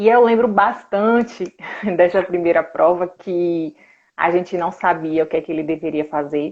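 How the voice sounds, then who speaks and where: Speaking at a moderate pace, a woman with a Bahian accent has a fairly low pitch. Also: ordinary pitch variation. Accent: Bahian Brazilian Portuguese. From Brazil, interior of Bahia (Conceição do Coité). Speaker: sports nutritionist. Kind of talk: live stream interview.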